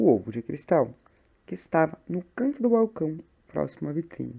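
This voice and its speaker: Soft-spoken and fairly slow, a woman talks in a São Paulo accent. Her very deep, low pitch carries a dark, mellow tone. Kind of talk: short story reading.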